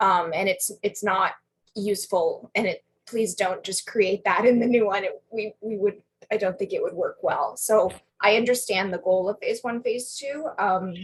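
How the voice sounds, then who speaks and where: A woman speaks at a moderate pace with ordinary pitch variation. Her voice is fairly high and somewhat breathy. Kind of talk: work meeting discussion.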